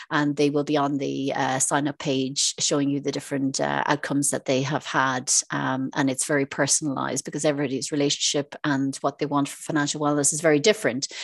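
A woman with an Irish accent talks at a very fast pace with hardly any pauses, her very deep, low pitch delivered in a monotone, flat intonation with a dry, close sound and no echo. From Ireland. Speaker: financial advisor and property investor. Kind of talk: interview.

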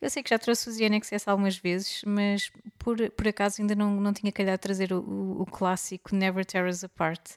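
Recorded very cleanly against a silent background, the voice moves at a moderate pace with hardly any pauses, in a flat, monotone intonation and a dry, close sound with no echo. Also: woman, medium pitch for a woman. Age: 30s. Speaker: podcast co-host. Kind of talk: casual chat.

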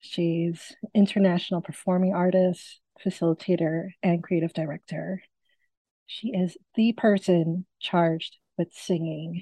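A woman's fairly low, somewhat breathy voice with a dark, mellow tone and fairly even intonation, at a fairly slow pace, in a dry, close sound with no echo. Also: quiet background. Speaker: podcast interviewer. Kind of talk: casual interview conversation. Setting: video call.

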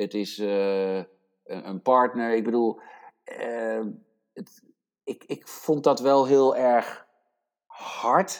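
Speaking at a very slow pace with long, frequent pauses, a man at a medium pitch shows ordinary pitch variation and big swings in loudness. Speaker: podcast co-host. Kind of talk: casual chat.

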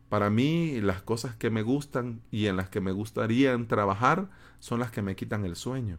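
On a very clean recording with a silent background, a man uses an ordinary speaking voice at a medium pitch with ordinary pitch variation. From El Salvador, San Salvador. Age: 30s. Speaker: podcast host, web developer. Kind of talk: solo podcast monologue.

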